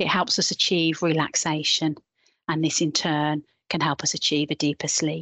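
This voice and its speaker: A woman speaks in a very deep, low pitch with a calm, soothing tone. Her intonation is monotone and flat, and her loudness stays very even. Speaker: health visitor. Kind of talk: guided meditation. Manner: calm, soft, soothing; gentle, unhurried.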